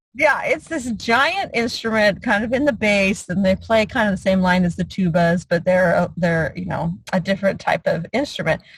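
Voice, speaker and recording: Somewhat breathy, a woman speaks at a moderate pace with lively intonation and hardly any pauses. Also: medium pitch for a woman. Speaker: real estate investor and mentor. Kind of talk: online mentoring call.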